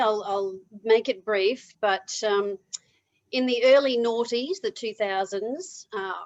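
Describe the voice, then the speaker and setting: A woman talks at a fairly slow pace with a fairly high pitch. Her pitch varies in an ordinary way, and the background is quiet. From Australia. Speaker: motivational speaker. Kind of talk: interview.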